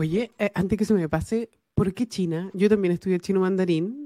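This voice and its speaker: A woman talks at a fairly quick pace with a Chilean accent. Her pitch is fairly low with ordinary variation, in a very clean recording with a silent background. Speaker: podcast host and engineering lecturer. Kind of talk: casual interview chat.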